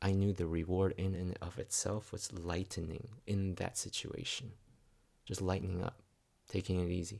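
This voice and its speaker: Soft-spoken and somewhat breathy, a man speaks with a very deep, low pitch, a dark, mellow tone and monotone, flat intonation. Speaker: spiritual vlogger. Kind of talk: reflective monologue. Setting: at home. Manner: halting. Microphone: new microphone.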